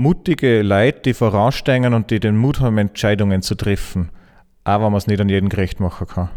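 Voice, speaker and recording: Recorded very cleanly over a silent background, a man with a plain, everyday voice and a fairly low pitch speaks at a fairly quick pace, with ordinary pitch variation and very even loudness. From Austria, Salzburg region. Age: 30s. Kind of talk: interview.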